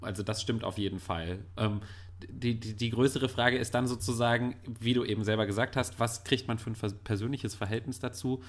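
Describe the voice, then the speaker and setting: A man's somewhat breathy, medium-pitched voice at a fairly quick pace, with fairly even intonation, on a very clean recording with a silent background. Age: 30s. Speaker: film blogger. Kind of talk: casual chat.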